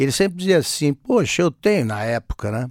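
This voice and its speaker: With very wide pitch swings, a man is heard in a dry, close recording with no echo and a silent, very clean background. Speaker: newspaper columnist. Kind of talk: interview.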